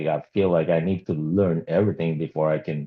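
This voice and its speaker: A mumbling man with a very deep, low voice and fairly even intonation. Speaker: automotive service writer, group call participant. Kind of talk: casual group video call discussion.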